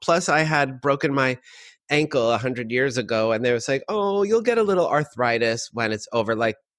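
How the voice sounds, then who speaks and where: Speaking at a moderate pace, a man with a fairly high pitch has an animated tone. His intonation is lively. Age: 50s. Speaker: drag and cabaret performer. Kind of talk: casual chat.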